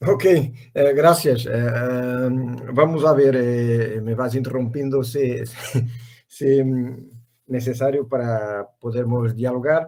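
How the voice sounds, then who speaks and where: A man's dark, mellow tone at medium pitch, with a Portuguese accent, fairly even intonation and a very slow pace. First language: Portuguese (speaking Spanish). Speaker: professor. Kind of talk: academic interview. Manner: halting, stammering.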